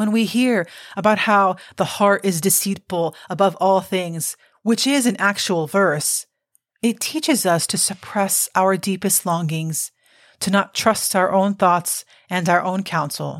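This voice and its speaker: Heard in a very clean recording with a silent background, an ordinary speaking voice with an American accent moves at a fairly slow pace with ordinary pitch variation. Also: woman, medium pitch for a woman. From Cuban American. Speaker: podcast host. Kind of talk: scripted narration.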